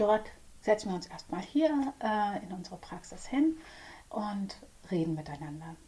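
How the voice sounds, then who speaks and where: Here a woman's tone is dark and mellow, somewhat breathy. Her pitch swings very widely. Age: 40s. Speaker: psychotherapist. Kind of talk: casual chat. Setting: studio.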